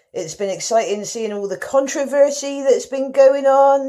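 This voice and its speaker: This woman speaks at a moderate pace with a dark, mellow tone and a West Country accent. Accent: West Country, exaggerated for comic effect. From rural West Country, England. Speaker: talent show contestant. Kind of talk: comic monologue.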